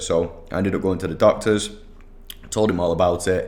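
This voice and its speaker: A man with a Mancunian accent speaks in a very deep, low voice, flat and monotone. There is audible echo in the room. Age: 30s. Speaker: digital marketing agency owner. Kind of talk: solo podcast monologue. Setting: office. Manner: casual, many fillers.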